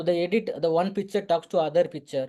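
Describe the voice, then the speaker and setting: This voice has a Tamil Nadu accent. The pace is fairly quick. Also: man. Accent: Tamil Indian English. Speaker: photographer and visual artist. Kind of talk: interview. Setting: online meeting. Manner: halting, many fillers and restarts.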